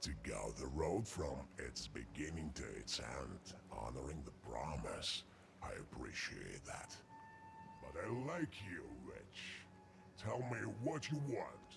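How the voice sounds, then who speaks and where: Someone uses a put-on character voice at a fairly slow pace, with long, frequent pauses. Clear background noise runs underneath. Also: man. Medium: video game. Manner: sly, bargaining.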